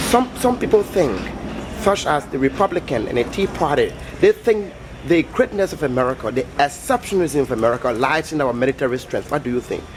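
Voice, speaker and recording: A man speaking at a fairly quick pace with very wide pitch swings, over noticeable background noise. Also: fairly high pitch for a man. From West Africa. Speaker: street interviewer. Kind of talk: vox pop street interview.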